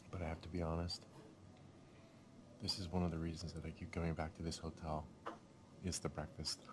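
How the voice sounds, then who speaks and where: Quiet and somewhat breathy, a man with a very deep, low pitch talks in a monotone, flat intonation at a fairly quick pace, with long, frequent pauses. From Scotland. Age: old. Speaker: vlogger. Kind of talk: casual vlog talk. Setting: hotel breakfast room.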